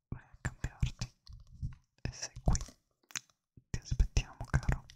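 At a very slow pace, a man is whispering. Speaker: ASMR streamer. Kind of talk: live stream chat with viewers. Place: home room. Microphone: studio mic.

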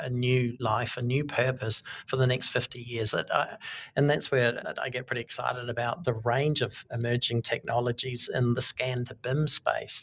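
A man with a New Zealand accent speaks at a medium pitch. His delivery is fairly slow, with monotone, flat intonation. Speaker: architect. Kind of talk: interview.

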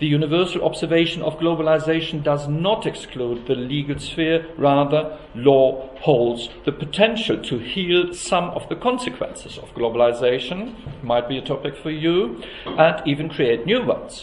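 A man at a moderate pace, with hardly any pauses. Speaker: academic host introducing a lecture. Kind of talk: formal introductory speech. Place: hall. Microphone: podium.

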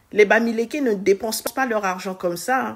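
A woman at a fairly quick pace with lively intonation. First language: French. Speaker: social media commentator. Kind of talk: casual commentary. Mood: mocking, exasperated, expressive. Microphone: phone near.

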